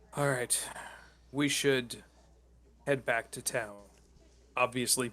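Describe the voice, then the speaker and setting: This man uses a put-on character voice that is raspy and medium in pitch. He delivers it at a fairly slow pace with monotone, flat intonation. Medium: actual play. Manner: practical, decisive.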